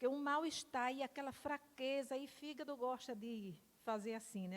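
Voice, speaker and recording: The woman's voice is high-pitched, with ordinary pitch variation and a moderate pace. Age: 60s. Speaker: pastor giving testimony. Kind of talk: testimony. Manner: halting.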